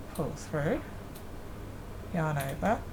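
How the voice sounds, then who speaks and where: A woman at a very slow pace and fairly low pitch, amid audible room echo and noticeable background noise. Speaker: crochet hobby youtuber. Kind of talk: tutorial. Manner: casual.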